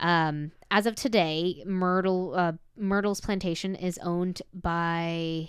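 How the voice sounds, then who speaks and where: Very slowly, a woman speaks with an American accent at a fairly low pitch and with fairly even intonation. The recording is very clean with a silent background. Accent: southern US accent coming out. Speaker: podcast host. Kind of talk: casual chat, telling a paranormal story.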